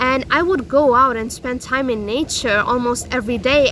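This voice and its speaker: Someone talks loudly and at a fairly slow pace, with ordinary pitch variation and noticeable background noise. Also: woman. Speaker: self-help vlogger. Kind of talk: personal vlog monologue. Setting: outdoors. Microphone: no microphone.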